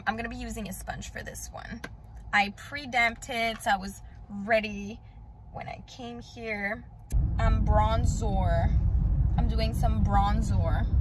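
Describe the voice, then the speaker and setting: Over loud background noise, a woman speaks at a fairly slow pace with long, frequent pauses, in a dry sound with no echo. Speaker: beauty vlogger. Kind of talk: makeup tutorial chat. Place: car. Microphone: phone near.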